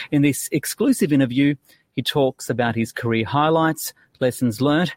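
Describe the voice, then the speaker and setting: A man speaks in a normal speaking voice at a moderate pace and a fairly high pitch. The recording is very clean with a silent background and a dry, close sound with no echo. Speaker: finance news podcast host. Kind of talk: news interview. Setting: studio.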